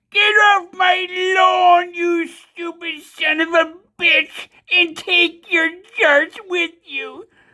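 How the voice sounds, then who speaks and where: A man's raspy put-on character voice at an extremely high pitch and a very slow pace. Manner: grumpy, scolding.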